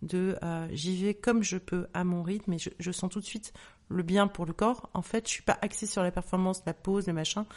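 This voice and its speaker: Medium-pitched and at a moderate pace, a woman's voice: a normal speaking voice with fairly even intonation. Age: 50s. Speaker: author and menopause awareness account creator. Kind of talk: testimony.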